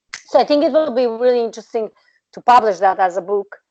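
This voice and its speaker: This is a woman speaking. She talks with a Serbian accent. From Serbia (Balkans). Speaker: researcher and PhD candidate. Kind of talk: interview. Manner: hesitant, many fillers.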